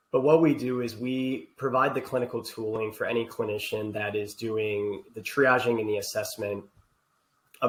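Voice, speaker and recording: Somewhat breathy, a man with an Ohio accent speaks at a moderate pace and medium pitch with monotone, flat intonation. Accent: Ohio (US Midwest) accent, still noticeable. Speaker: healthcare technology executive. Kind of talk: podcast interview.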